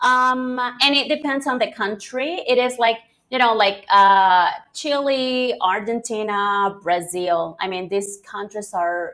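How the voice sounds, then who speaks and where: With a Spanish accent, a woman speaks using lively intonation. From Venezuela. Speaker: English teacher. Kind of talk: interview. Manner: hesitant, many fillers.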